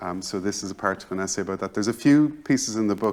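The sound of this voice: The clip is delivered in an unforced reading voice.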